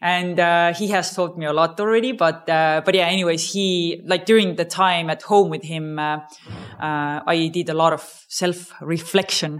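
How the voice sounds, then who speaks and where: With an Estonian accent, a woman speaks at a fairly low pitch with fairly even intonation. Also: moderate pace. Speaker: startup co-founder. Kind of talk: interview. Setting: conference venue.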